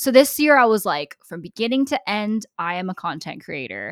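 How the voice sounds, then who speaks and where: A woman speaks with a Californian accent and lively intonation in an animated tone. The sound is dry and close, with no echo. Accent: General American (Californian). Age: 20s. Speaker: YouTube content creator. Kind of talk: casual chat.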